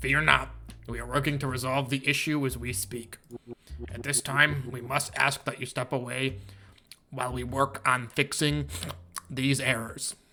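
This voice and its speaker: A man puts on a character voice at a medium pitch, moving at a moderate pace. He leaves long, frequent pauses. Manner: formal, reassuring.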